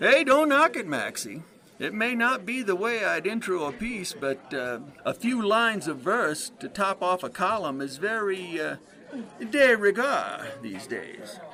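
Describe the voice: Using a put-on character voice, a man talks at a fairly slow pace, pitched high with big pitch swings and a bright, sharp tone.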